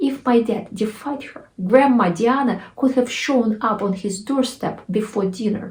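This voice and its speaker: The voice has a Russian accent and ordinary pitch variation, moving at a fairly slow pace. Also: woman. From Russia (Nizhny Novgorod). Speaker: author, storyteller. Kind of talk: personal story told to camera. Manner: humorous, anecdotal.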